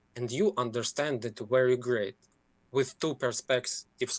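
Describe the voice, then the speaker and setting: In a dry, close sound with no echo, a man of medium pitch speaks at a moderate pace with ordinary pitch variation. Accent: Ukrainian. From Ukraine. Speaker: caller. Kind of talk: casual chat. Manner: halting.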